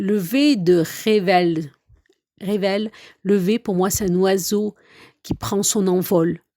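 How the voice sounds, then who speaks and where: A woman with a dark, mellow tone speaks at a very slow pace with long, frequent pauses and ordinary pitch variation, in a dry, close sound with no echo and a very clean recording with a silent background. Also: medium pitch for a woman. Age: 50s. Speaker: podcast host and coach. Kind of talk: podcast monologue. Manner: hesitant, with filler sounds.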